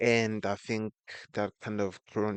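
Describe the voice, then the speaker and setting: At a fairly slow pace, a man speaks in a non-native accent. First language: not English. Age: 20s. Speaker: vlogger. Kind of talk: personal vlog monologue. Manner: halting.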